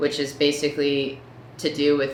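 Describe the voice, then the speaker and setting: A woman speaks in a very deep, low voice. Her pace is moderate. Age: 30s. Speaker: patient sharing diagnosis story. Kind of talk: personal story talk to camera.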